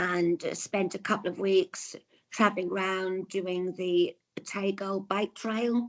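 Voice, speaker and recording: With an English accent, a woman speaks at a medium pitch and a fairly slow pace, her intonation fairly even. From England. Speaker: traveller, tour customer. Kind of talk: casual interview.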